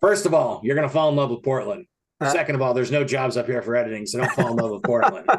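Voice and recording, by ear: A man puts on a gravelly, gruff character voice at a medium pitch. He speaks very fast.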